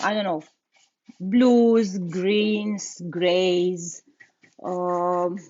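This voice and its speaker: A woman's medium-pitched voice with a non-native accent and fairly even intonation. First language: not English. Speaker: furniture painter and content creator. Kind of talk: live tutorial. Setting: livestream. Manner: halting, many fillers and repetitions.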